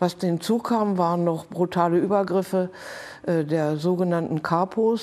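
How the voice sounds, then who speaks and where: A woman speaks at a very slow pace with a dark, mellow tone. Her intonation stays fairly even. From Hanover, northern Germany; Germany. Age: 80s+. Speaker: Holocaust survivor; witness. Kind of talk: testimony. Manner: halting. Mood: serious, calm recollection. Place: studio. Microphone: lapel.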